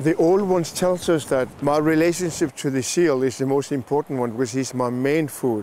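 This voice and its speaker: Noticeable background noise runs under a man with a fairly high pitch and ordinary pitch variation. He keeps a moderate pace with very even loudness and hardly any pauses. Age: 60s. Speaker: shaman. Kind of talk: spiritual talk.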